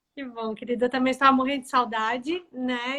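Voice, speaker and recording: The voice is raised and projected, bright and sharp in tone, with monotone, flat intonation. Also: woman. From Florianópolis, southern Brazil. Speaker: HR tech sales lead and live show host. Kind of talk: live-stream interview. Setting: Instagram live video.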